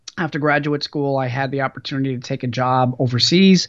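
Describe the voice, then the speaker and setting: The speaker is a man with medium pitch. His intonation is fairly even. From US West Coast, Los Angeles. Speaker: entrepreneur and business professor. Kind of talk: podcast interview.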